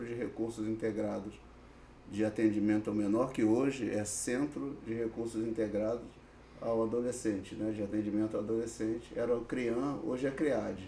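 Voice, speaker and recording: Through audible room echo, a man of medium pitch talks at a moderate pace with fairly even intonation. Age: 60s. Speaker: social worker with youth offenders. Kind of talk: podcast interview. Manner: hesitant, many fillers.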